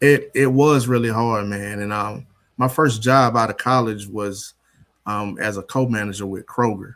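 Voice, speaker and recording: This man has an ordinary speaking voice at a medium pitch. He talks at a moderate pace with fairly even intonation. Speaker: father and coach. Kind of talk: podcast interview.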